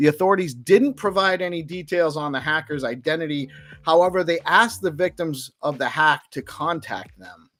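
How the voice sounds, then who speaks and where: A man speaks at a moderate pace with a high pitch. His pitch varies in an ordinary way, while his loudness swings widely. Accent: Rhode Island. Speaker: crypto news show host. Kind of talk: live news roundup show. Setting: live stream broadcast. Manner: casual, with fillers and restarts.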